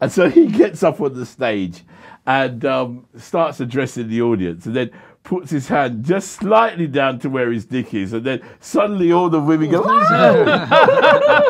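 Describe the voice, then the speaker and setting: Against a quiet background, a man in a South London accent talks at a moderate pace, his fairly high voice making very wide pitch swings. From South London, England. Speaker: charity founder. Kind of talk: interview conversation. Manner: halting, many fillers and repeats.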